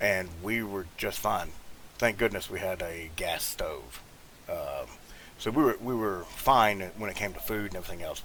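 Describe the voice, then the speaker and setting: A man's fairly low voice in a Southern US accent at a moderate pace, with ordinary pitch variation, audible room echo and noticeable background noise. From US South. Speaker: gaming YouTuber. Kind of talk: gameplay commentary, casual chat. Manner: halting, many fillers.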